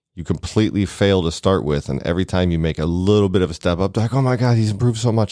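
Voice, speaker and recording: At a very fast pace with hardly any pauses, a man speaks in a dark, mellow tone at a very deep, low pitch with ordinary pitch variation. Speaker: podcast host. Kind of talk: casual chat. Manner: slight slur.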